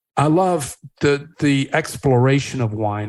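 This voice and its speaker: A man's medium-pitched, an ordinary speaking voice in an American accent, with ordinary pitch variation. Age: 60s. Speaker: wine company founder. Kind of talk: podcast interview.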